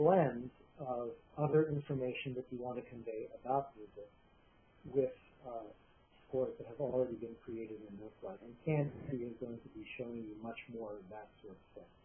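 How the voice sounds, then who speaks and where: Quiet speech at a moderate pace, fairly even in intonation, with big swings in loudness. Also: man, medium pitch for a man. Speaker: software developer presenting a product. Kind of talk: webinar presentation. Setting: online meeting.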